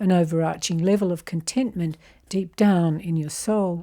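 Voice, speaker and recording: A woman with an Australian accent speaks at a moderate pace, her fairly low voice dark and mellow in tone, with ordinary pitch variation. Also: very clean recording, silent background. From Australia (Canberra). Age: 70s. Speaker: self-help video presenter. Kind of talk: scripted narration.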